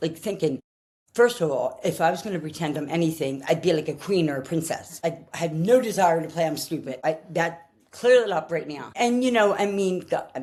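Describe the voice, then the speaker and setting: Fairly quick speech with a Philadelphia accent. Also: woman. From Philadelphia, US. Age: 60s. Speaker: person sharing her diagnosis story. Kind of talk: personal testimony. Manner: halting, with many fillers and restarts.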